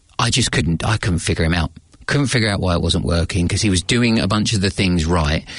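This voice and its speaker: A man with a British accent speaks at a very deep, low pitch and a fairly quick pace. His voice is somewhat breathy, with ordinary pitch variation and very even loudness. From England. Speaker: leadership coach. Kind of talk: interview. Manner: hesitant, with many fillers.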